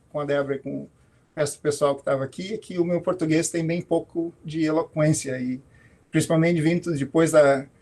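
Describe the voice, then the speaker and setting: The pace sits at a moderate level. Intonation is fairly even throughout. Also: man. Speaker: professor. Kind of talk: talk to students in an online alumni event. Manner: halting, many fillers.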